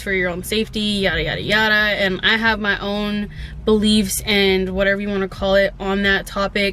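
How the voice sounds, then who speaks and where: A woman speaks at a medium pitch and a moderate pace. Noticeable background noise runs behind her. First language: Spanish. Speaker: vlogger. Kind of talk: casual vlog monologue. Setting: in a parked car. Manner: casual, filler-heavy.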